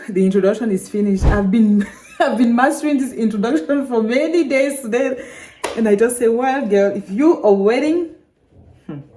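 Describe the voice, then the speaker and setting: Over noticeable background noise, a woman with a Cameroonian accent talks at a moderate pace in a fairly high pitch with lively intonation. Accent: French-speaking Cameroonian accent in English. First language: French. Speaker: vlogger, language learner. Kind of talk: casual vlog monologue. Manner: halting, with fillers.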